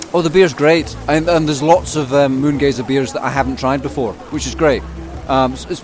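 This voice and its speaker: A man talking at a very fast pace over background music. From Leicester, England, to Scottish parents. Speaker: festival goer. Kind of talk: casual interview. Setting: outdoor festival marquee.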